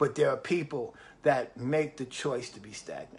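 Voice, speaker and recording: In a New York accent, a man speaks fairly slowly with ordinary pitch variation. His pitch is fairly high. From New York City. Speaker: motivational live streamer. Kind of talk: motivational livestream talk. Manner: repetitive, emphatic.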